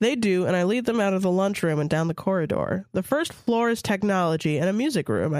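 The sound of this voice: This is an unforced reading voice. The text is read aloud in that way.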